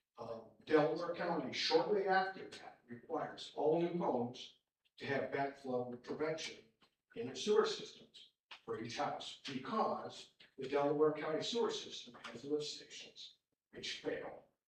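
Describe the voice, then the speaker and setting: The man speaks at a fairly slow pace with lively intonation. Audible room echo surrounds his voice. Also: fairly high pitch for a man, big swings in loudness. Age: 60s. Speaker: resident speaking at public hearing. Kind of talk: public comment at township meeting.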